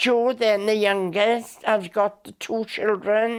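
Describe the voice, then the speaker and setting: A woman's fairly high-pitched voice with monotone, flat intonation, on a very clean recording with a silent background. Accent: South Wales. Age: 90s. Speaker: elderly interviewee recounting her life. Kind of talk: oral history interview. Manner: halting with many fillers.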